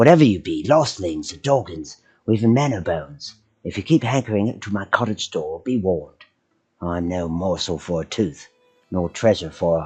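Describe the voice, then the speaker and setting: In a put-on character voice, a man speaks creakily at a fairly low pitch and a moderate pace. Music plays in the background. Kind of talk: archaic, old-fashioned phrasing. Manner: warning, menacing.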